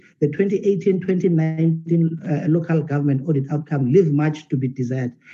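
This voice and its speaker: A man with a South African accent and ordinary pitch variation. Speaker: ruling party member of parliament. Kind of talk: parliamentary oratory, rhetorical and defensive. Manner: emphatic, declamatory, animated.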